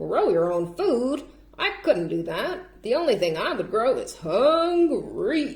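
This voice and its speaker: A woman's put-on character voice, high-pitched and fairly slow. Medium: read story.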